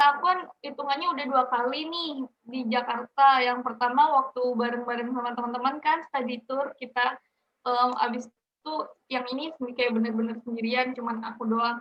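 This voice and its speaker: Her pitch high, a woman speaks at a moderate pace in a slight Balinese accent. Her intonation stays fairly even. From Bali and Banyuwangi, East Java. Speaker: university student. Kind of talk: interview. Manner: casual, with many fillers.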